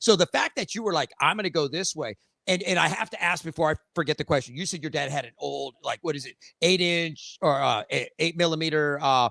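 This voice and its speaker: Loud and bright with a sharp tone, a man speaks at a fairly high pitch and a fairly quick pace with ordinary pitch variation, in a dry, close sound with no echo. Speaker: podcast host. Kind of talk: casual interview chat.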